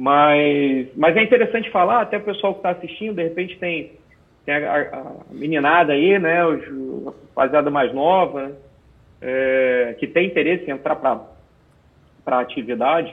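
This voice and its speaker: At a moderate pace, a man talks with a fairly high pitch and lively intonation. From Rio de Janeiro, Brazil. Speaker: military police officer and special operations instructor. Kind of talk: interview. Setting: video call. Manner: halting, with repetitions.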